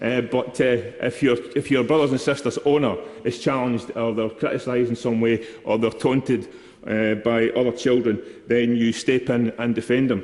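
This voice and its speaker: A man speaks with a Scottish accent at a moderate pace. His intonation is flat and monotone, and his loudness stays very even. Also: medium pitch for a man. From Scotland, East Kilbride. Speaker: member of parliament. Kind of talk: parliamentary speech. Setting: parliament chamber. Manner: formal.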